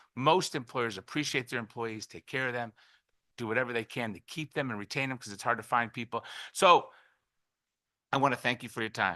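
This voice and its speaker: In a dry, close sound with no echo and a quiet background, a bright, sharp voice moves at a fairly quick pace with ordinary pitch variation, long, frequent pauses, and big swings in loudness. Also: man, medium pitch for a man. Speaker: business owner testifying. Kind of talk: public testimony. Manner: fast.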